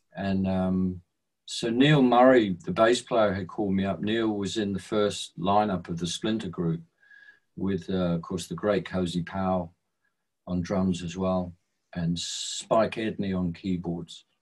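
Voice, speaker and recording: Against a quiet background, a man speaks fairly slowly in a very deep, low pitch. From England. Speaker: musician. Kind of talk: storytelling. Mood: calm, reminiscent. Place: home room. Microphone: video call.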